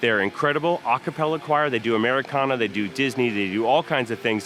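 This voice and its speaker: A man rattles along at a very fast pace, his pitch varying in an ordinary way, while noticeable background noise carries on. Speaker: theme park vlogger. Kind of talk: walking tour vlog.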